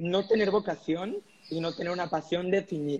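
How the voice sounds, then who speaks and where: Speaking at a fairly slow pace, a man with a high pitch uses ordinary pitch variation. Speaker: entrepreneur. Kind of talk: casual chat.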